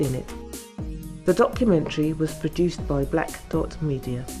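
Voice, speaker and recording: Music plays behind a woman as she talks. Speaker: documentary narrator. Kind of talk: documentary narration.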